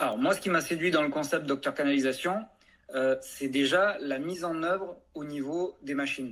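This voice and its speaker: Moderate pace and ordinary pitch variation from a man whose voice sits fairly high for a man. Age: 40s. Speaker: franchise owner, plumbing business. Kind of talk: interview testimony. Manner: hesitant, many fillers.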